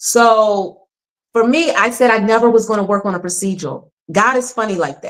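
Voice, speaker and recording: In an animated tone, a woman with a fairly high pitch speaks at a moderate pace with ordinary pitch variation. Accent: Philadelphia. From Philadelphia, US Northeast. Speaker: actor. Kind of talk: interview.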